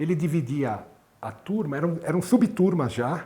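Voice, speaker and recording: A man's dark, mellow, somewhat breathy voice with very wide pitch swings. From Brazil, São Paulo. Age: 60s. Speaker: cardiologist and medical professor. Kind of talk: interview, personal recollection. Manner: halting, with repetitions.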